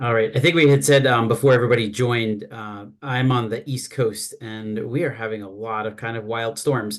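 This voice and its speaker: Over a quiet background, a man talks with big swings in loudness, hardly any pauses and ordinary pitch variation. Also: medium pitch for a man. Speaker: healthcare consultant and trainer on transgender care. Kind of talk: webinar presentation. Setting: video call webinar. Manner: fast.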